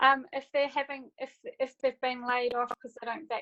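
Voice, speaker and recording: Here a woman speaks with a New Zealand accent. Her pitch is high. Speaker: audience participant in webinar. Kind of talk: casual discussion on video call. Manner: halting.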